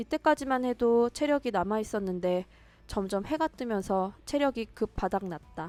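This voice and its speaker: Lively intonation and very even loudness mark this moderate-paced voice, recorded dry and close with no echo and with music in the background. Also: woman, fairly high pitch for a woman. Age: 30s. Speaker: vlogger. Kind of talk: vlog voice-over narration.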